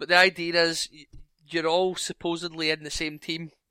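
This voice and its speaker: A man with a Scottish accent uses a bright, sharp tone and a high pitch, keeping a monotone, flat intonation at a moderate pace in a very clean recording with a silent background and a dry, close sound with no echo. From Scotland. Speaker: podcast co-host. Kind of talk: casual chat.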